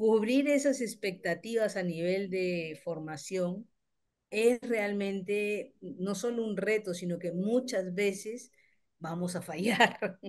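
Against a quiet background, a woman speaks at a very slow pace and medium pitch with ordinary pitch variation. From Peru. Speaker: teacher and communicator; teacher. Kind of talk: audience question. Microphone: video call.

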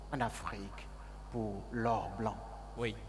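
A man talks very slowly while music plays in the background. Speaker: guest. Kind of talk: interview answer. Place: stage. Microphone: lapel.

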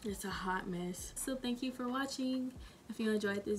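A woman's pitch varies in an ordinary way, with light noise behind her. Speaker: vlogger. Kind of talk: casual vlog chat.

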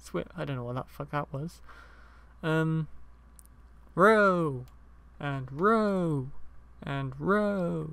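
Speaking in a British accent at a very slow pace, the voice leaves long, frequent pauses. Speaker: gaming video maker. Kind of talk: casual gameplay commentary. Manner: casual, rambling, laughing.

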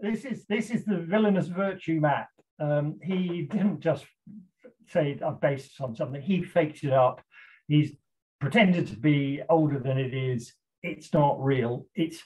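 The delivery is fairly slow, with ordinary pitch variation. The background is quiet. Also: man. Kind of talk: lecture. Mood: animated, indignant about fake map. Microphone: video call.

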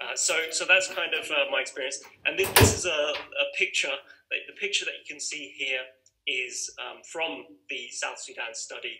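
With a British accent, a man talks at a moderate pace, his loudness swinging widely. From UK. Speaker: migration researcher. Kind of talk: webinar presentation. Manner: halting.

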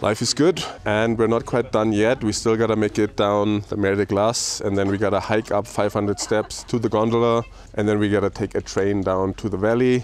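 At a moderate pace, a man talks in a fairly low pitch with little pitch movement.

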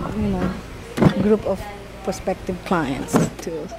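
Loud background noise, a moderate pace, and a dry sound with no echo. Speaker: reunion association organizer. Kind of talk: casual chat. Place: garden.

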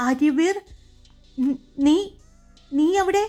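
Music plays behind a woman doing a put-on character voice. Her voice is shaky. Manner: fearful, shaken.

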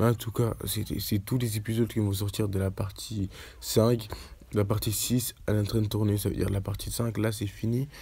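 Fairly low male voice with a dark, mellow tone, vocal fry, monotone, flat intonation and a moderate pace. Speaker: YouTuber discussing TV series. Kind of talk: casual vlog to camera. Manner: hesitant, stumbling.

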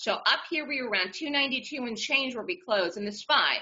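A woman talks in a plain, everyday voice. Her pitch varies in an ordinary way. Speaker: trading webinar presenter. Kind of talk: casual instructional, conversational.

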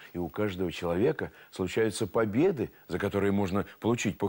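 In a quiet setting, a man talks fairly slowly. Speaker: TV presenter, storyteller. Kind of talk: moral talk to viewers. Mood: warm, gently instructive. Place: studio.

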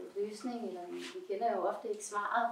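A woman talks at a moderate pace in a monotone, flat intonation, with audible room echo and light background noise. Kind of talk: casual chat. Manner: halting. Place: home room. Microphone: camera far.

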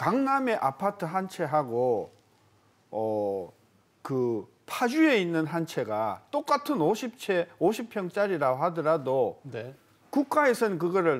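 A man at a very slow pace, his pitch swinging very widely. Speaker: guest expert commentator. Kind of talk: interview answer. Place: studio. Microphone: lapel.

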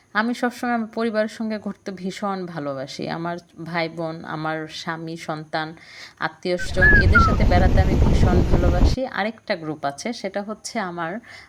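Noticeable background noise runs through the clip. A woman speaks in a fairly low pitch. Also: ordinary pitch variation. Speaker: cooking and travel vlogger. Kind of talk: travel vlog narration.

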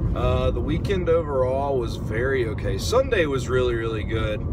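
A man's voice comes through dry, with no echo, despite loud background noise. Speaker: vlogger driving to work. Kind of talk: casual vlog chat. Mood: relaxed, mildly annoyed. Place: car. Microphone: phone near.

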